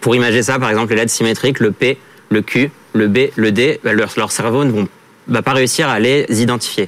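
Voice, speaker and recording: A man talks at a fairly quick pace amid noticeable background noise. His pitch is medium with ordinary variation. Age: 30s. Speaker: startup founder. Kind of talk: pitch and jury Q&A.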